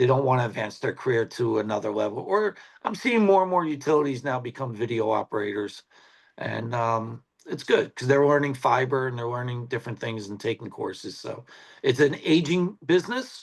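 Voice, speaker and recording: An ordinary speaking voice from a man at medium pitch. His intonation is lively and his pace fairly quick. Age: 60s. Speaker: TV sports cameraman. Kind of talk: casual chat.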